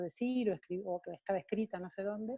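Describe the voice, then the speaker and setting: This woman's voice has a dark, mellow tone. Her pitch is fairly high. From Argentina. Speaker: coach and coach trainer. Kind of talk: talk to an online community. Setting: video call.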